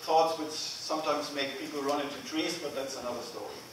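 The man talks at a moderate pace. Audible room echo and light background noise are present. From Germany. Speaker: agile coach. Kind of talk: conference lightning talk. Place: hall. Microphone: camera far.

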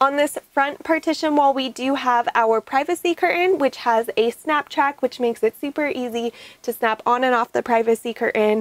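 A woman speaks at a moderate pace in a high pitch with ordinary pitch variation, and the sound is dry with no echo. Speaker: van tour guide. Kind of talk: walkthrough tour commentary. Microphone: lapel.

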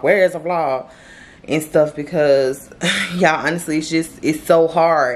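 The intonation is monotone and flat. The pace is moderate. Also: woman. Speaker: vlogger. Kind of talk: casual vlog chat. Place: home room. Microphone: phone near.

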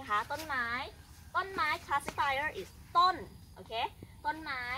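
A woman speaks in a raised, projected voice at a high pitch. Light background noise can be heard. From Thailand, Rayong province. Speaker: Thai language teacher. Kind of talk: language tutorial. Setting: outdoors. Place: open country.

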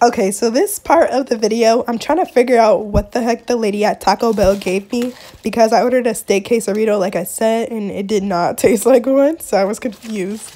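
A woman speaks at a fairly quick pace with hardly any pauses. Her pitch varies in an ordinary way. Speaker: vlogger. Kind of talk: casual mukbang vlog chat. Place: home room. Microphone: phone near.

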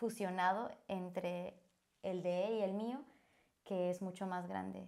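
The background stays quiet. Her voice, a woman's, carries a dark, mellow tone. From Bolivia. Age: 20s. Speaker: church volunteer. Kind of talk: interview. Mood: warm, earnest. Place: studio. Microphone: lapel.

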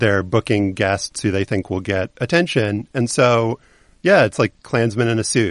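A man with an unremarkable speaking voice talks at medium pitch and a moderate pace. His pitch variation is ordinary, and the background is quiet. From US South. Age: 40s. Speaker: journalist and podcast host. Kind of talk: interview.

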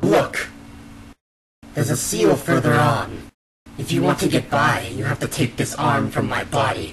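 Speaking at a moderate pace, a man with a medium-pitched voice and ordinary pitch variation leaves long, frequent pauses. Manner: manic, taunting, gleeful; frenzied shouting.

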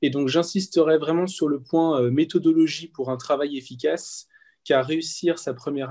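In a dark, mellow tone, a man delivers his words rather slowly. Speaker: medical student and tutoring coordinator. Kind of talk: webinar presentation.

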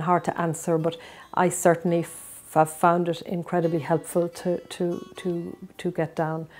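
Faint music plays in the background as a woman speaks in a flat monotone at a fairly low pitch. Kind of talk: interview answer. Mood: earnest, reflective. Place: home room. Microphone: lapel.

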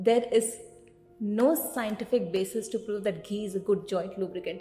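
The voice belongs to a woman. Music sounds faintly behind her. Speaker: nutrition coach. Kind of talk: informative vlog talk. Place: office. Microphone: studio mic.

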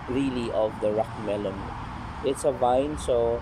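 A fairly slow pace with ordinary pitch variation, dry sound without echo, and noticeable background noise. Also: man. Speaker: home gardener vlogger. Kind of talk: casual vlog chat. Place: garden. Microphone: phone near.

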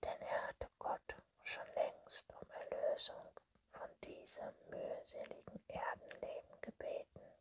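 Someone whispers at a very slow pace. Loud background noise fills the clip. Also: woman. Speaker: ASMR reader. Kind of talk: bedtime story reading. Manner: whispered. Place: home room.

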